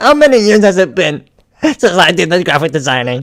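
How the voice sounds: Putting on a character voice, a man talks fairly quickly at a high pitch with very wide pitch swings.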